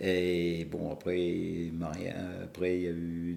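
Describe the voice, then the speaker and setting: A man's very deep, low voice has a dark, mellow tone, heard with audible room echo. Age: 70s. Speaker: long-distance cyclist, club president. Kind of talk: podcast interview. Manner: hesitant, many fillers.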